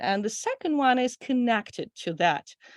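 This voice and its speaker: A woman with a Russian accent talks at a moderate pace with ordinary pitch variation against a quiet background. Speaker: audience member asking questions, PhD student. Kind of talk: Q&A question.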